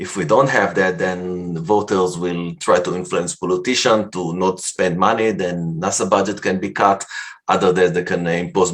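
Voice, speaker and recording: A man with a non-native accent speaks at a moderate pace. His voice is very deep and low, with fairly even intonation. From Canada. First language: not English. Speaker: science fiction writer. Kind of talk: conference talk. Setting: virtual convention presentation. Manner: halting.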